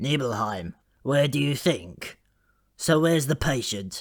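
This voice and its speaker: A man speaks at a fairly slow pace in a put-on character voice. His voice is raspy. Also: fairly high pitch for a man. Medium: read story. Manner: brusque.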